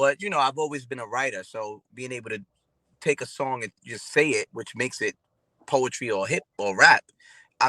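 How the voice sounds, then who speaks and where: A man with a New York accent speaks at medium pitch and a fairly quick pace, his tone bright and sharp. The recording is very clean with a silent background, dry and close with no echo. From Brooklyn, New York. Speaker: R&B singer and rapper. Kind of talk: interview.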